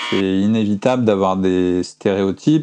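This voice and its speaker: Dark, mellow tone from a man, fairly low in pitch, with ordinary pitch variation, a fairly slow pace and a quiet background. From France. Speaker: comic book author. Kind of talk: interview. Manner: hesitant, with repetitions.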